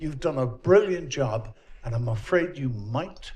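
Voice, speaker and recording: A somewhat breathy man at fairly high pitch speaks at a fairly slow pace with very wide pitch swings, and audible room echo surrounds his voice. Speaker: audience member asking a question. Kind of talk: audience question. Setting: conference hall with audience.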